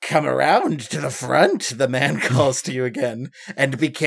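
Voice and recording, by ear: Pitch moves in an ordinary way. Someone reads aloud in a natural voice.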